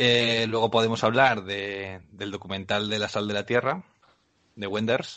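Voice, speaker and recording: A man's normal speaking voice, fairly low in pitch, with fairly even intonation at a fairly slow pace. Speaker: podcast co-host. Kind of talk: casual chat.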